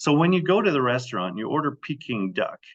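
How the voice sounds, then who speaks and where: Vocal fry and very wide pitch swings at a fairly quick pace, in a dry, close sound with no echo. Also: man. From Germany. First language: German. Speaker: Bible teacher. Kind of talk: Bible study lecture with slideshow. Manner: animated, conversational.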